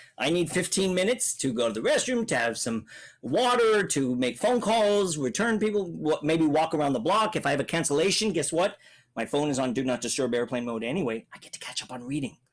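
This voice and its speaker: Talking at a fairly quick pace, a man sounds energetic, his pitch swinging very widely. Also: fairly high pitch for a man, very clean recording, silent background. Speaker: public speaking coach. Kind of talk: Q&A talk to children. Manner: clear articulate; energetic, varied pace.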